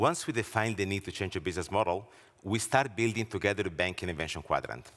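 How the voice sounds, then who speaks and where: Speaking very fast with an Italian accent, a man keeps a fairly low pitch and ordinary pitch variation. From Italy. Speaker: banking research leader and author. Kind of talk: conference presentation. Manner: hesitant, frequent filler words.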